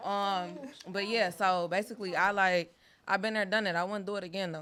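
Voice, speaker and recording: A woman with a bright, sharp tone and fairly even intonation, at a fairly quick pace, in a very clean recording with a silent background. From US West. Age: 20s. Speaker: dating show panelist. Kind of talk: casual chat. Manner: forceful, aggressive-sounding; loud.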